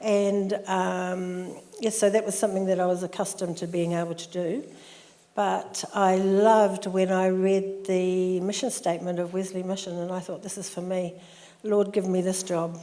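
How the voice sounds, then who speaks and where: In a New Zealand accent, a woman talks at a moderate pace with monotone, flat intonation amid audible room echo. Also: medium pitch for a woman. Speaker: social worker. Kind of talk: interview.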